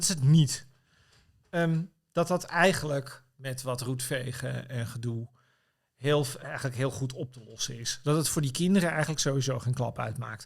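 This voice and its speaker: On a very clean recording with a silent background, a man speaks at a moderate pace. His voice is somewhat breathy, with ordinary pitch variation. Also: medium pitch for a man. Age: 50s. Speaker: political commentator and writer. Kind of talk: casual chat. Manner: halting.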